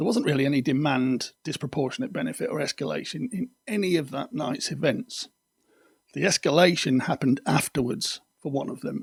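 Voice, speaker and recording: A man with a fairly high, somewhat breathy voice talks at a moderate pace. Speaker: video podcast host on controlling behaviour. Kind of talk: explanatory monologue.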